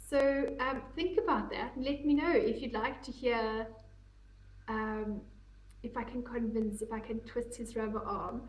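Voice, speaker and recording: A woman's high-pitched voice at a fairly slow pace, with fairly even intonation and audible room echo. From South Africa, English-speaking family. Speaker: knitting podcaster. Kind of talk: casual chat. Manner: rambling, conversational with frequent ums.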